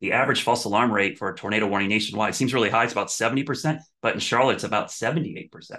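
Against a quiet background, a man with an American accent talks at a very fast pace in a bright, sharp tone. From Ohio, US Midwest. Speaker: TV meteorologist. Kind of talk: casual interview.

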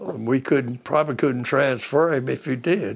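Here a man talks with a Southern US accent. His pitch is medium, his intonation fairly even, and his pace moderate. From southeastern North Carolina. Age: 80s+. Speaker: war veteran. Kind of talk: oral history interview. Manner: understated.

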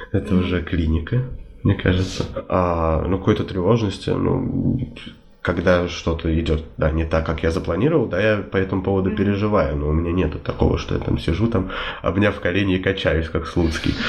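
A man's very deep, low voice at a fairly quick pace, with very even loudness, ordinary pitch variation, noticeable background noise and audible room echo. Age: 20s. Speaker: civil servant. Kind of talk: interview.

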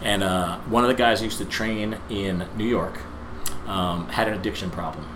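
A fairly low-pitched man with an American accent, ordinary pitch variation and a moderate pace, over noticeable background noise. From New Jersey. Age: 40s. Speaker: gym owner, former bodybuilder. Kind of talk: casual chat. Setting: studio.

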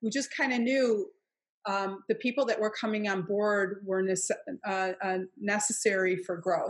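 A woman with a plain, everyday voice speaks at medium pitch and a moderate pace, with fairly even intonation, against a quiet background. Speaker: author and trainer. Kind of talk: interview conversation. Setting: video call.

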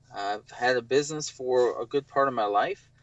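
This man has an ordinary speaking voice at medium pitch, with ordinary pitch variation. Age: 40s. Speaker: photographer and business owner. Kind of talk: casual interview about living with bipolar.

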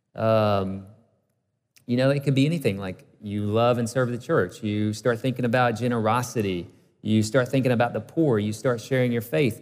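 A man with a Southern US accent, on a very clean recording with a silent background. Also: medium pitch for a man, ordinary pitch variation, moderate pace. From US South, northeast Alabama. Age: 30s. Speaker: pastor. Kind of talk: sermon. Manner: conversational, with fillers and restarts.

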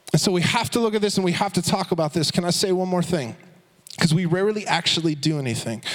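Very fast and animated, a man speaks at a high pitch with ordinary pitch variation and very even loudness over noticeable background noise. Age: 30s. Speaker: youth pastor. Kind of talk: sermon. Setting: church.

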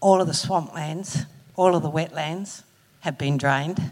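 The speaker talks at a moderate pace. It is in an Australian accent. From Australia, Northern Rivers NSW. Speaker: audience member. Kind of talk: audience question. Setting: stage with audience.

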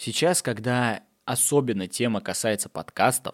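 The recording is very clean, with a silent background and a dry, close sound with no echo. A man speaks at a very slow pace. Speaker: podcast host. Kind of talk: solo monologue. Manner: animated.

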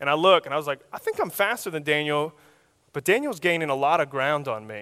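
Speech comes at a very fast pace with a bright, sharp tone on a very clean recording with a silent background. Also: man. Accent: American. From Oklahoma. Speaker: youth minister. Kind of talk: sermon.

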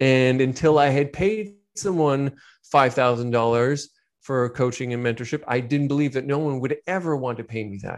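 A man's plain, everyday voice, fairly high in pitch with ordinary pitch variation, at a moderate pace over a quiet background. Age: 40s. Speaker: business coach. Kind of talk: interview.

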